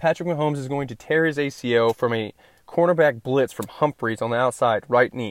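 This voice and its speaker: A man's ordinary speaking voice at medium pitch, fairly quick, with a dry, close sound, no echo and a quiet background. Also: ordinary pitch variation. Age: 20s. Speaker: sports podcast host. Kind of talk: casual solo podcast monologue.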